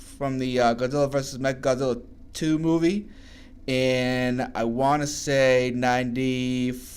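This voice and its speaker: At a moderate pace, a man with a Massachusetts accent talks in a medium pitch. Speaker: artwork reviewer, video creator. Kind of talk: casual video review commentary. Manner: casual, rambling; halting, frequent stuttered repeats.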